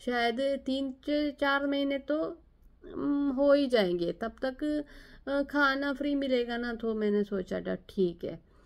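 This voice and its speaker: A woman's high voice with ordinary pitch variation. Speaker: nurse and vlogger. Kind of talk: personal vlog storytelling. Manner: halting, with hesitations.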